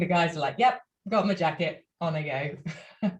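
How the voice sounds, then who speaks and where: A woman with a British accent talks at a very fast pace in a somewhat breathy voice. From UK. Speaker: opera singer. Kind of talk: casual chat.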